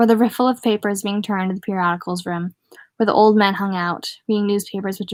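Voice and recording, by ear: With fairly even intonation, someone reads aloud in a natural voice over a quiet background.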